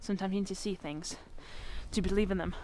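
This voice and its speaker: Background noise is noticeable. Over it, a woman talks. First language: Spanish. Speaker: lifestyle vlogger. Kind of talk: vlog. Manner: casual, chatty.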